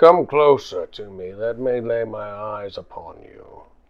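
A man's put-on character voice at a medium pitch, delivered at a fairly slow pace. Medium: actual play. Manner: grand, imperious.

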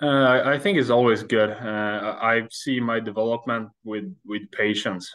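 A man with a Swedish accent and fairly even intonation. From Sweden. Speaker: ice hockey goaltender. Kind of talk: interview. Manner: halting.

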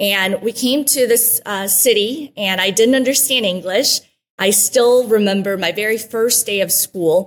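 A woman talks at a fairly slow pace with a Midwestern US accent. Her pitch is fairly high, with ordinary variation. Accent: US Midwest. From Guatemala, raised in Wichita, Kansas from age eight. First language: Spanish. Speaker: former TV reporter and mayoral candidate. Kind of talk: interview. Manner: warm, grateful.

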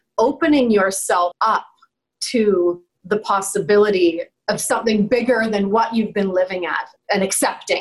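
Here a woman speaks at a fairly slow pace. Her pitch is fairly high. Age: 40s. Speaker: life coach. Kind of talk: interview. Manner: animated.

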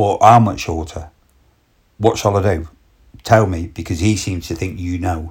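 A man speaks with a very deep, low pitch and fairly even intonation, somewhat breathy. He pauses long and often on a very clean recording with a silent background. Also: moderate pace.

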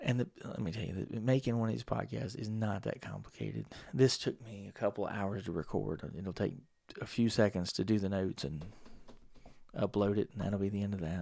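A man's fairly low, dark and mellow voice, relaxed in tone, at a fairly quick pace with ordinary pitch variation. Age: 40s. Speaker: podcast host. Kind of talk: casual monologue. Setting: home studio microphone. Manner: rambling, relaxed.

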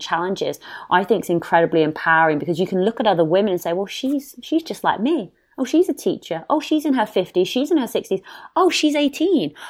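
A woman talks at a very fast pace in a British accent. Her pitch swings very widely. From northwest England, near Liverpool. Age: 30s. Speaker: podcaster and long-distance hiker. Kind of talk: casual interview chat.

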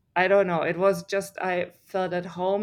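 A woman with a German accent speaks at a medium pitch. Her pace is moderate, over a quiet background. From Germany. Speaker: triathlete and research scientist. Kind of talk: interview. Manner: animated.

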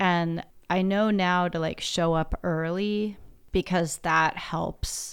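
A woman with an American accent speaks at a very slow pace and a fairly low pitch. The recording is very clean, with a silent background. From US Pacific Northwest. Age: 40s. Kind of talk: casual chat.

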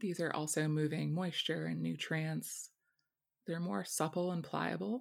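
A woman speaks at a fairly slow pace in a calm, soothing tone, her loudness staying very even throughout. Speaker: herbalist and herb farmer. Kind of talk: guided meditation. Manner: slow, calm, soothing; gentle, descriptive.

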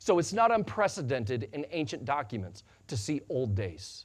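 A man with a Midwestern American accent speaks at medium pitch and a moderate pace, somewhat breathy, with very wide pitch swings against a quiet background. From US Midwest, western Illinois. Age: 40s. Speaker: pastor. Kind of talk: sermon. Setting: church.

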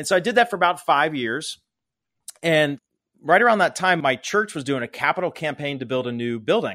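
Over a very clean, silent background, a man with an American accent speaks fairly quickly, his fairly high voice bright and sharp in tone with lively intonation. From Pittsburgh, Pennsylvania. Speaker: fundraising consultant and company founder. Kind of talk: interview conversation. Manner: casual.

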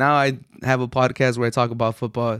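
On a very clean recording with a silent background, a man of medium pitch speaks fairly quickly in a monotone, flat intonation. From US, Mexican household. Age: 20s. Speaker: sports podcast host. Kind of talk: solo sports commentary monologue. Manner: casual, some filler words.

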